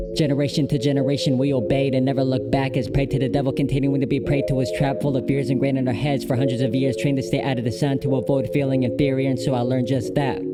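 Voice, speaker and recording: Over music in the background, a man at medium pitch talks at a very fast pace with hardly any pauses, very even loudness and ordinary pitch variation. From Filipino heritage. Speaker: spoken word poet. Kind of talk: spoken word poetry performance. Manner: rhythmic.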